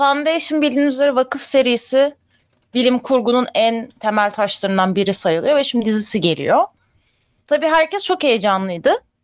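A woman speaks at a moderate pace and a high pitch. Her pitch swings very widely while her loudness stays very even. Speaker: film and TV show co-host. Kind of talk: casual chat. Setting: live stream.

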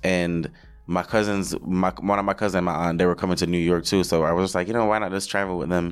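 A man talks with a very deep, low pitch and fairly even intonation. His pace is fairly quick. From Jamaica. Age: 20s. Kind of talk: casual interview chat.

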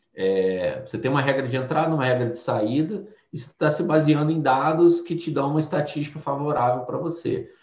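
Over audible room echo, a man talks at a fairly high pitch with hardly any pauses. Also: ordinary pitch variation, fairly quick pace. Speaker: former bank treasurer and quant trading instructor. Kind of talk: casual interview.

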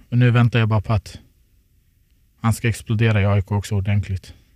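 A man speaks fairly quickly in a monotone, flat intonation at a fairly low pitch, in a very clean recording with a silent background. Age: 30s. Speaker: professional footballer. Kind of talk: casual chat. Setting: studio.

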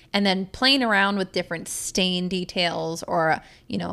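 A woman talks in an ordinary speaking voice at medium pitch and a moderate pace. Her intonation stays fairly even, and the recording is very clean with a silent background. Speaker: podcast host and custom home builder. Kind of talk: casual interview chat. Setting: studio.

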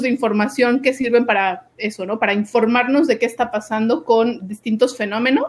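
A woman at a fairly high pitch, with ordinary pitch variation and a moderate pace. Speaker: doctoral student. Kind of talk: interview.

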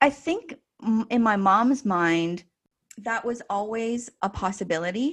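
A woman speaks at a fairly slow pace in a somewhat breathy, fairly high voice with lively intonation. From northern China, then Canada. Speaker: school founder and director. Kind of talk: casual interview, personal storytelling.

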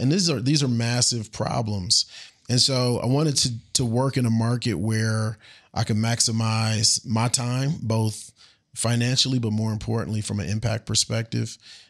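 With an American accent and a plain, everyday voice, a man speaks at a moderate pace and medium pitch, his intonation fairly even. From United States. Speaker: agricultural technology entrepreneur. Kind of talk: interview.

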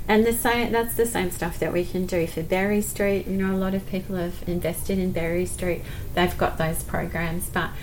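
Noticeable background noise and audible room echo surround the recording. A woman with an Australian accent speaks at medium pitch and a moderate pace, her intonation fairly even. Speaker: school principal. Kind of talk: casual interview. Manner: smiling.

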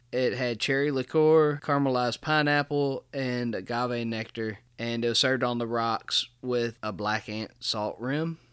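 Over a very clean recording with a silent background, a man with a normal speaking voice and medium pitch talks at a fairly slow pace with hardly any pauses and fairly even intonation. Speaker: podcast host. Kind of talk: casual chat.

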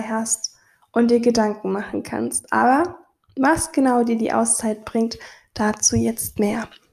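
A woman talks at a very slow pace, her pitch fairly high and its variation ordinary. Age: 20s. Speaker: podcast host, photographer and business coach. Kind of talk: solo podcast monologue on self-care.

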